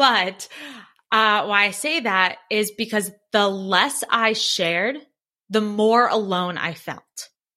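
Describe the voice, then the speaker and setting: The tone is bright and sharp, and the pace is very slow. The recording is very clean, with a silent background. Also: woman. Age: 30s. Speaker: public speaker and entrepreneur. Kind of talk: interview.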